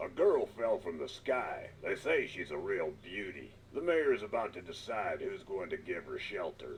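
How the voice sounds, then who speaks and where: A man performs a put-on character voice at a moderate pace with hardly any pauses. Clear background noise is present. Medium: video game. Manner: officious, bossy.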